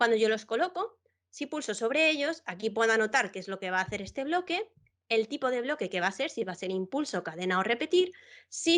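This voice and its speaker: Over a quiet background, a woman speaks at a fairly quick pace with very wide pitch swings. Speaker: educator and Minecraft content creator. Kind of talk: tutorial workshop. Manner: fast; animated.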